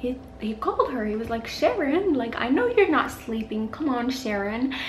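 A high-pitched woman's voice at a fairly slow pace, with light background noise and audible room echo. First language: not English. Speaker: true crime YouTuber. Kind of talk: casual true crime storytelling to camera. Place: home room.

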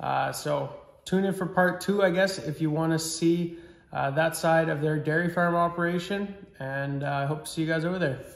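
Room echo is audible as a man speaks at a high pitch with fairly even intonation. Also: moderate pace. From Saskatchewan, Canada. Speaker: farm vlogger. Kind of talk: casual vlog narration. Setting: outdoors on a farm. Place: home room. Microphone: phone near.

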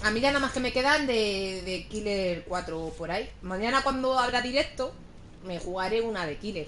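A woman speaks at a moderate pace with an animated tone and lively intonation over light background noise. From Spain. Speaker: video game streamer. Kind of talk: live gaming stream chat. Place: home room. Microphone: headset.

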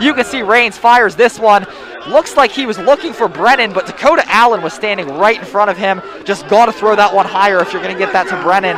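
Energetic, excited male speech, high in pitch with ordinary pitch variation, crowd noise in the background. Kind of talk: live football commentary, play-by-play with analyst remarks. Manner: quick, energetic, excited call of the action; occasionally hesitant and uncertain when a flag flies.

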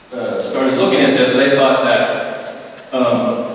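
Through strong room echo and light background noise, a man speaks at a fairly slow pace. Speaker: guest lecturer. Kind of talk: lecture. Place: hall. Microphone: camera far.

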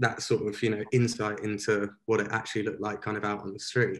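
The man's delivery is flat and monotone. He rattles through it very fast. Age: 20s. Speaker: street photographer; guest. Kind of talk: interview. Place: home room. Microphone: video call.

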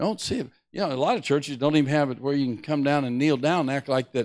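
Against a quiet background, a man talks at a fairly high pitch. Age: 60s. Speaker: preacher. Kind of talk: sermon. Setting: church. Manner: animated. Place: church. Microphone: handheld.

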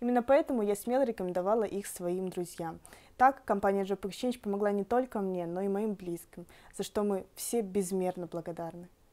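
A woman's medium-pitched voice in a dark, mellow tone, with ordinary pitch variation at a moderate pace. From Belarus. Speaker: interviewee, client testimonial. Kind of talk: interview answers. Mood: calm, grateful. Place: home room.

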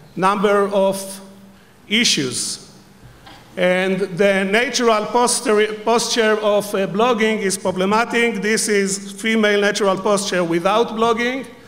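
A man's high-pitched voice, fairly slow and fairly even in intonation, comes over noticeable background noise. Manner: humorous, playful.

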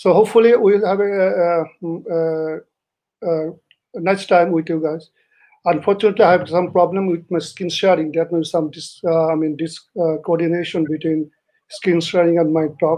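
A man with a high pitch speaks at a moderate pace. His intonation is fairly even, and the background is quiet. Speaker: speaker. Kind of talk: formal opening remarks. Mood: polite, grateful. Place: office. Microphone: video call.

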